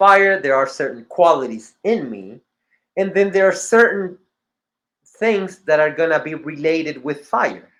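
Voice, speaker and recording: The voice has a non-native accent. Its pitch swings very widely. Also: man. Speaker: teacher of symbolism. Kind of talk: lecture. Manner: halting, with false starts.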